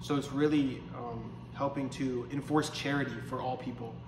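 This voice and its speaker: Over noticeable background noise and audible room echo, a man speaks at a medium pitch in a flat monotone. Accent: American. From Pennsylvania, US. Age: 20s. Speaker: seminarian. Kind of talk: interview. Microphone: faulty lapel microphone, poor audio.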